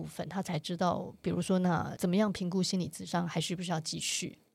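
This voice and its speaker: Vocal fry runs through a woman's speech. Her intonation stays fairly even. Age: 50s. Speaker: author and activist. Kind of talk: interview.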